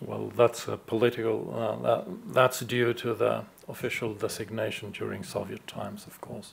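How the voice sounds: The voice has vocal fry and little pitch movement. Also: man, fairly low pitch for a man, moderate pace.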